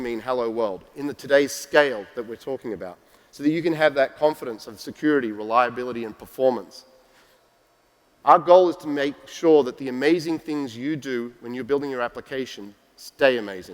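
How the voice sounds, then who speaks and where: A man at a medium pitch with an Australian accent, fairly quick pace and big swings in loudness. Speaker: tech company executive giving keynote. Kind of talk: conference keynote. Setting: stage with audience.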